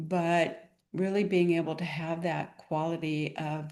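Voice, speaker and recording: Against a quiet background, a woman with an unremarkable speaking voice talks at a fairly low pitch with fairly even intonation. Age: 60s. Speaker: clinical pharmacist and wellness guide. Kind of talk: interview conversation.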